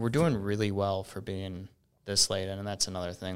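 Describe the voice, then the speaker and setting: A normal speaking voice from a man, fairly low in pitch, at a moderate pace with fairly even intonation, in a very clean recording over a silent background. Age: 30s. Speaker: entrepreneur and company CEO. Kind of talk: casual chat.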